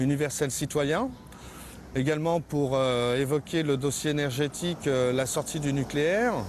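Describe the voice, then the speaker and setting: Against noticeable background noise, a man with a fairly high pitch speaks at a fairly slow pace, his loudness very even and his pitch varying in an ordinary way. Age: 40s. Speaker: parliamentary candidate. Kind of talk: campaign statement. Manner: halting, many hesitations.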